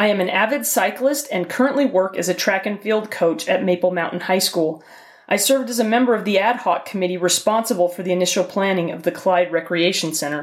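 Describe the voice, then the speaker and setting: At a fairly quick pace, a woman with an American accent talks in an unremarkable speaking voice, medium in pitch, with ordinary pitch variation. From Utah. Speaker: city council candidate. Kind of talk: campaign statement.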